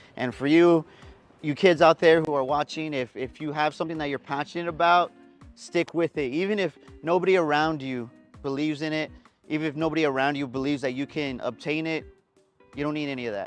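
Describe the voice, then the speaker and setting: Music plays in the background as a man speaks with an American accent at a very fast pace. His pitch is fairly high and his intonation fairly even. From San Antonio, Texas (West Side). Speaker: TV news reporter. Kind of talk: interview answer.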